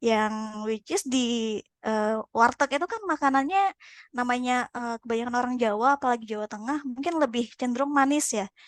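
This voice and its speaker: A woman speaks at a high pitch with ordinary pitch variation. Her moderate-paced speech sounds dry and close, with no echo. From Sumatra, Pekanbaru (Riau). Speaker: podcast guest. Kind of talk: casual chat. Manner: halting, many fillers.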